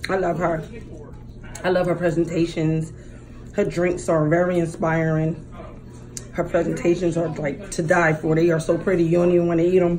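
Amid light background noise, a woman with a fairly low voice speaks in a monotone, flat way with long, frequent pauses. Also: moderate pace. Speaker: mukbang vlogger. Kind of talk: casual vlog chat. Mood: warm, a bit nervous. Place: home room. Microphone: phone near.

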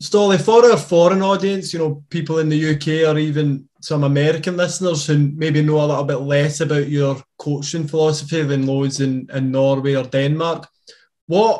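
Over a quiet background, a man with a Scottish accent speaks at a moderate pace, with a fairly high pitch, fairly even intonation and a somewhat breathy voice. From Scotland. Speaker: podcast co-host. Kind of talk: interview question. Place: home room. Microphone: webcam.

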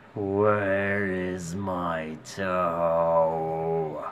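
A man puts on a character voice with a very deep, low pitch and monotone, flat intonation, over clear background noise. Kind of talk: story reading. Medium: read story. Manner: groaning.

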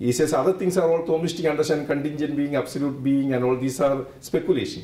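Talking at a very fast pace, a man with a fairly high pitch and ordinary pitch variation is heard in audible room echo. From India. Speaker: theology professor. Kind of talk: interview explanation. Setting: conference. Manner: halting, with many restarts. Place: meeting room.

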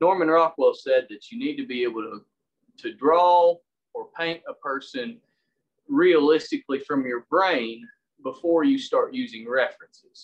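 A man speaks at a moderate pace with a Southern US accent, his pitch high for a man. His pitch swings very widely and his loudness rises and falls in big swings. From US South, Tennessee. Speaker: woodcarver and public school English teacher. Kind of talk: online demonstration talk. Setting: video call. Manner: casual, self-deprecating.

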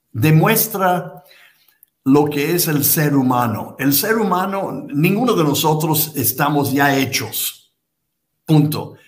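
Against a quiet background, a man with a fairly high pitch talks at a very slow pace with lively intonation. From United States. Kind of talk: interview conversation. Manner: halting, repeats words. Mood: reflective, calm. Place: home room.

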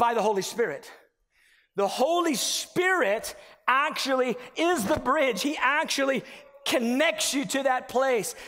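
A man projects a raised voice at an extremely high pitch with lively intonation. He speaks at a fairly slow pace, his loudness very even. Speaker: preacher. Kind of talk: sermon. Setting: church. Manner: animated; earnest, conversational preaching. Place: church. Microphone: headset.

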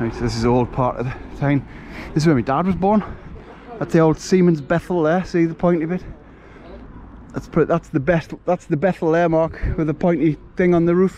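A man with a Geordie accent speaks at a high pitch with ordinary pitch variation, at a fairly quick pace broken by long, frequent pauses. The sound is dry with no echo, and there is light background noise. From northern England, Newcastle. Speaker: vlogger. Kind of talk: walking vlog. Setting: outdoors. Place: waterside. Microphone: phone near.

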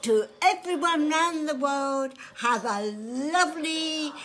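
Speech comes at a very slow pace with lively intonation. There is light background noise. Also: woman. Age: 80s+. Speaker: elderly woman giving a message. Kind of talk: casual interview answer. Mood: warm, cheerful. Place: home room. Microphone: phone near.

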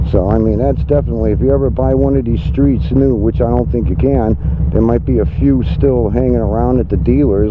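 Amid noticeable background noise and room echo, a man with a very deep, low pitch talks at a fairly quick pace with hardly any pauses. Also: very even loudness. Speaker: motorcycle vlogger. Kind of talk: casual vlog narration while riding. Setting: outdoors on a motorcycle. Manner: loud.

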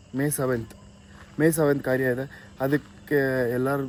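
A man with a medium-pitched voice talks in a flat monotone over noticeable background noise. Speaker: vlogger. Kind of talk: casual vlog talk to camera.

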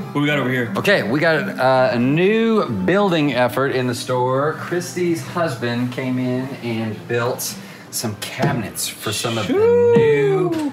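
A man speaks fairly slowly against loud background noise. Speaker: game store owner vlogger. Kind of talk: casual vlog chat. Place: shop. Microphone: phone near.

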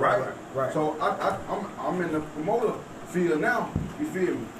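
Over noticeable background noise, a man talks at a fairly quick pace. His pitch is high and his intonation lively. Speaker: music artist; guest. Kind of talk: casual chat. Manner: halting. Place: studio.

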